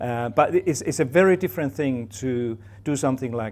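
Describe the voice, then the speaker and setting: A man with a Finnish accent, medium in pitch and moderate in pace. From Finland. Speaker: professor. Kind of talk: talk to an audience. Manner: halting, many fillers and repeats.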